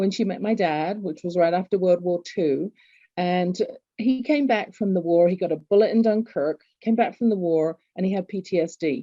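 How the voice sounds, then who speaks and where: With an English accent, the speaker keeps a moderate pace and ordinary pitch variation. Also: woman, medium pitch for a woman. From England. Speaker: author and executive coach. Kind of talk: interview.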